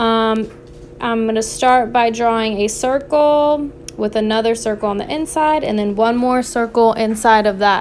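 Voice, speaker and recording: Speaking at a moderate pace, a woman's fairly high voice keeps fairly even intonation in an ordinary speaking voice. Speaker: art teacher. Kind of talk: tutorial.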